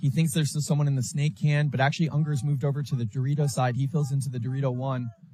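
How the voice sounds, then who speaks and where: A quiet, somewhat breathy man at fairly high pitch, very fast with hardly any pauses, his intonation fairly even. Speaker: paintball commentator. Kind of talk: live commentary. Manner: lowered voice, quieter.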